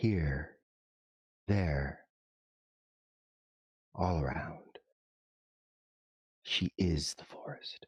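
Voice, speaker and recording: Using a put-on character voice, a man talks at a very slow pace with a very deep, low pitch and long, frequent pauses. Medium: actual play. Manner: cold, menacing.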